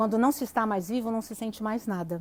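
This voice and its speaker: Here is a woman's voice with fairly high pitch. Her pitch varies in an ordinary way. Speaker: psychologist. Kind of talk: live stream talk. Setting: online live stream.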